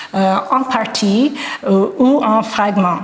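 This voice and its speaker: With a slight non-native accent, a woman speaks at a medium pitch with ordinary pitch variation, with noticeable background noise and audible room echo in the recording. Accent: slight foreign accent in French. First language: English (speaking French). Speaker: art historian, professor. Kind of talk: lecture. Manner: halting, many hesitations.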